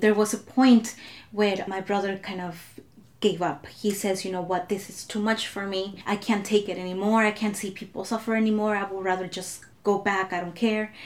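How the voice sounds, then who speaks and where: At a fairly quick pace, this is an unremarkable speaking voice with fairly even intonation. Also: woman. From Southern California (came from Mexico at five). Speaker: immigrant rights activist. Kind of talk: casual chat.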